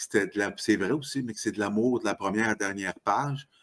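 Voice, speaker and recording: Speaking with fairly even intonation, a man has a fairly low pitch. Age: 60s. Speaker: author. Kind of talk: podcast interview. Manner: halting.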